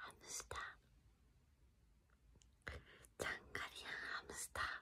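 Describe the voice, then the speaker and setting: Whispering from a woman, fairly slow in pace. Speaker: short video creator. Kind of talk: asmr whisper. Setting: short video, whispering one phrase repeatedly. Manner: whispered. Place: home room. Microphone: phone near.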